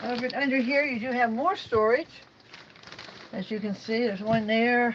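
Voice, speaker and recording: A woman speaks at a high pitch. Noticeable background noise runs under her voice. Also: ordinary pitch variation, moderate pace. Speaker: RV reviewer. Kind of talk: walkthrough tour. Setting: indoors, inside an RV at a trade show. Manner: casual, chatty.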